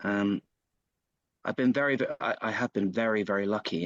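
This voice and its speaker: A man speaks at a moderate pace with fairly even intonation and a medium pitch, recorded with a quiet background and a dry, close sound that has no echo. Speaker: actor and voiceover artist. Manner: halting, many fillers and restarts.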